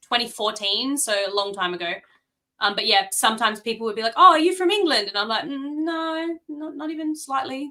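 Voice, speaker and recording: With an Australian accent, a woman speaks at a high pitch in a bright, sharp tone with lively intonation. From South Australia, Adelaide. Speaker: author. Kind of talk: casual chat.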